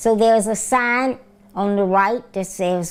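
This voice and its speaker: Speaking at a very slow pace, a woman with a Southern US accent uses a medium pitch and ordinary pitch variation. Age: 70s. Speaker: retired nurse. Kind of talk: interview answer.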